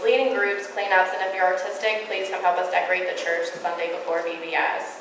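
Speaking at a very fast pace, a woman comes through with audible room echo. Light background noise is also present. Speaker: church announcer. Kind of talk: church announcements. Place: church. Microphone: podium.

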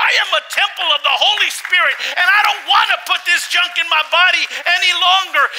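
A man speaks at a moderate pace with an extremely high pitch, ordinary pitch variation and a bright, sharp tone, over faint background noise and faint crowd noise in the background.

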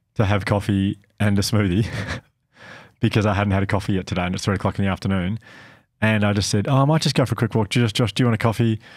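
In a very clean recording with a silent background, a man with an Australian accent and fairly low pitch talks at a very fast pace, broken by long, frequent pauses. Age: 40s. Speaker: podcast host. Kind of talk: casual chat.

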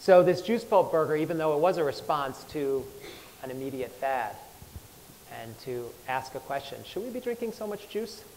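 Over light background noise, a man's voice makes very wide pitch swings and big swings in loudness. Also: moderate pace. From US. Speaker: chef; speaker. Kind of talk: talk to live audience. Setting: stage with audience. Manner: halting. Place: stage. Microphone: lapel.

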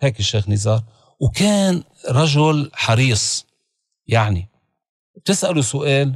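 A man speaks with a Lebanese accent in a somewhat breathy voice. The sound is dry with no echo, and the background is quiet. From Lebanon (Beirut). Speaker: religious leader; guest. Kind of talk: interview. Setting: studio. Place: studio. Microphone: studio mic.

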